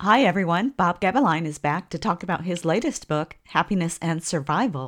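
A woman with an unremarkable speaking voice talks at a fairly quick pace, her pitch fairly low. Her intonation is lively, and the recording is very clean with a silent background. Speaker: podcast host. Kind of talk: interview.

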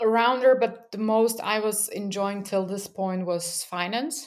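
A woman with a Slovak accent, fairly high-pitched, lively in intonation, at a fairly slow pace. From Slovakia (Bratislava). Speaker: user researcher and podcast host. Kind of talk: casual interview conversation.

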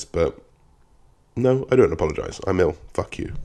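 A man's put-on character voice, raspy, medium in pitch, at a moderate pace. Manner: irritated, defiant.

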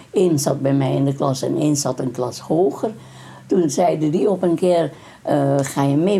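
A woman speaks in a very deep, low pitch. Her loudness stays very even. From Dutch East Indies (Indonesia), Moluccan family. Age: 90s. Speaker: grandmother interviewed about her life. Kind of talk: oral history interview. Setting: at her home.

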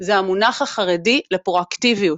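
Very slow speech from a woman, her pitch varying in an ordinary way. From Israel, Haredi community. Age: 40s. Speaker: employment program developer, diversity expert. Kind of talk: casual interview chat.

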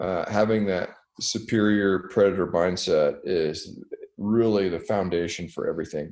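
Here a man speaks with a fairly low pitch at a moderate pace. It is a normal speaking voice with fairly even intonation. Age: 40s. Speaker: military sniper instructor and Marine officer. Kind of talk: casual chat.

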